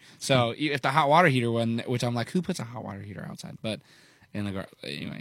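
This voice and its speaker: At a very fast pace, a man of medium pitch talks with lively intonation and big swings in loudness. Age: 20s. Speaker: country songwriter and singer. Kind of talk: casual chat. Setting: studio. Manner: halting.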